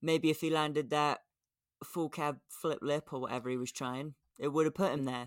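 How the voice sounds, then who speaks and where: Recorded dry and close with no echo, very clean and with a silent background, a man speaks at a moderate pace with a fairly high pitch and fairly even intonation. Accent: English. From England. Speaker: skateboarding podcast co-host. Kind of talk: casual chat.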